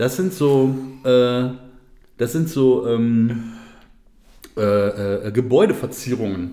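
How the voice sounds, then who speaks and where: A man with a dark, mellow tone speaks very slowly at a medium pitch, with ordinary pitch variation and long, frequent pauses. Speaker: podcast co-host. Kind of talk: casual chat. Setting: home studio.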